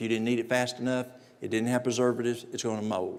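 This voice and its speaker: There is audible room echo as a man speaks in a Southern US accent at a medium pitch. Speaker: natural remedies presenter. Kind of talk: lecture.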